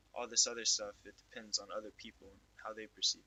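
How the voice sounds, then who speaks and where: A man talks at a fairly quick pace. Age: 18. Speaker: youtuber. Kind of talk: casual monologue. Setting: lying in bed at home. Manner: casual, halting with fillers. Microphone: not wearing the mic, quality may be bad.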